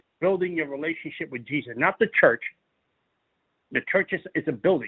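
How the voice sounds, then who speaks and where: A man with a fairly high pitch, ordinary pitch variation, an American accent, and an animated, passionate tone. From New York City. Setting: audio podcast broadcast.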